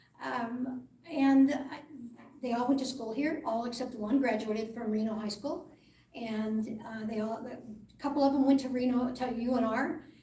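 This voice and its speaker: A woman's high voice at a moderate pace, fairly even intonation, noticeable background noise and audible room echo. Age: 70s. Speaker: political candidate. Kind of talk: debate opening statement.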